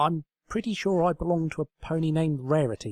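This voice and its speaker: In a put-on character voice, a man talks at a fairly quick pace with a fairly high pitch, on a very clean recording with a silent background. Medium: read story.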